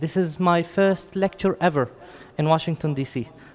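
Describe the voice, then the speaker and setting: The man's intonation stays fairly even while noticeable background noise plays behind him. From Jerusalem, Palestine. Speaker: lecturer on Islamic heritage. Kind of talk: lecture. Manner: hesitant, many fillers.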